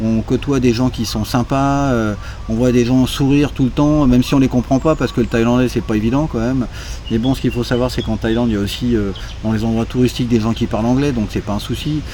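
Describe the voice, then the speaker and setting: A very fast, medium-pitched man with fairly even intonation, against noticeable background noise. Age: 60s. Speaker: chauffeur interviewed about moving to Thailand. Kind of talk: casual interview. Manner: hesitant, many fillers.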